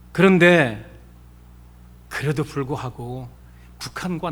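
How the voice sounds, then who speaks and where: Very slowly, a man speaks amid audible room echo. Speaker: pastor. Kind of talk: sermon.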